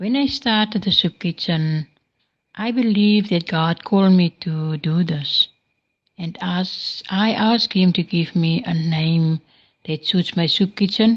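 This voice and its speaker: A woman speaks at a fairly slow pace in a somewhat breathy voice, with medium pitch and ordinary pitch variation. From South Africa, Northern Cape. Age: 60s. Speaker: soup kitchen founder. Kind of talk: voice message testimony. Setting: recorded voice messages.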